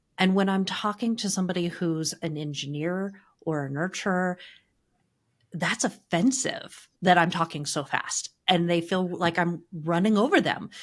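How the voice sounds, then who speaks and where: A woman's plain, everyday voice at a moderate pace, with ordinary pitch variation, on a very clean recording with a silent background. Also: fairly low pitch for a woman. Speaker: marketing agency co-founder. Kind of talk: podcast business discussion.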